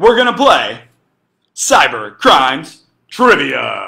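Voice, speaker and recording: A man does a put-on character voice. It sounds raspy. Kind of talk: announcer-like.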